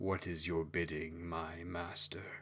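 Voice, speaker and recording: A man puts on a raspy character voice, pitched very deep and low, speaking at a fairly slow pace with monotone, flat intonation over clear background noise. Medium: read story. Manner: relishing, predatory.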